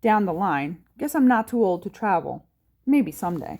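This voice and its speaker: A woman puts on a gruff character voice at medium pitch. Her pitch swings very widely at a moderate pace. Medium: read story. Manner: gruff, blustery, plainspoken.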